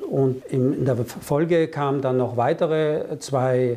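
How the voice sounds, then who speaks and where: Fairly high-pitched for a man, his dark, mellow voice keeps a fairly even intonation. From Germany and France. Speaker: business consultant. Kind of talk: interview.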